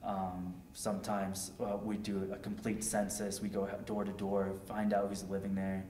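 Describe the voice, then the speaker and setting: With an American accent, a man with a fairly low pitch talks at a moderate pace with hardly any pauses and monotone, flat intonation, over light background noise and audible room echo. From Connecticut, Hartford area; Connecticut. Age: 20s. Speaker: war veteran. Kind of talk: oral history interview. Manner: halting, many fillers. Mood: calm, reflective. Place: home room.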